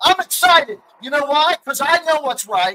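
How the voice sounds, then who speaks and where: In a raised, projected voice with a bright, sharp tone, a man speaks at a moderate pace. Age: 50s. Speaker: political commentator. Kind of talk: heated debate. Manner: animated.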